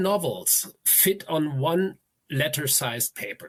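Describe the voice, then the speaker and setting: A man with a fairly high voice speaks with lively intonation. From Germany. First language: German. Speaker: novelist. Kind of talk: interview. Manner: halting.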